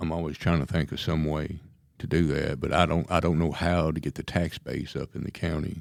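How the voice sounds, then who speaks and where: Speaking at a moderate pace, a man with a very deep, low voice keeps his intonation fairly even, with vocal fry throughout. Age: 60s. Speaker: county sheriff. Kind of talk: radio interview.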